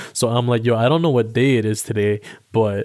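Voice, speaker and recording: On a very clean recording with a silent background, a man with a Toronto accent talks at a moderate pace, with a medium pitch and ordinary pitch variation. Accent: Toronto urban Canadian English. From Toronto, Canada. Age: 20s. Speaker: podcast host. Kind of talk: casual monologue. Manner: casual, filler-heavy.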